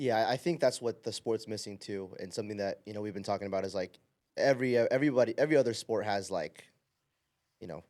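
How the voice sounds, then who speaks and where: A man's medium-pitched voice at a very fast pace, ordinary pitch variation, on a very clean recording with a silent background. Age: 20s. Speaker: volleyball podcast host. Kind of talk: casual interview chat. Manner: animated.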